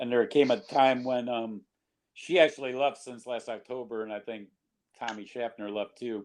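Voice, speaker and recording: A man with an ordinary speaking voice and medium pitch uses fairly even intonation while his loudness swings widely. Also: moderate pace. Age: 60s. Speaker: rock singer. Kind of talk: casual interview.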